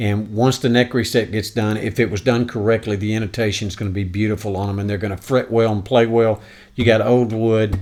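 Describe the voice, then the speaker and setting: Over a quiet background, a man with a fairly low pitch talks at a fairly quick pace in a monotone, flat delivery. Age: 60s. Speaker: guitar reviewer. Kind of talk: product review. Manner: halting, many fillers; casual, folksy. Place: home room. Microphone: studio mic.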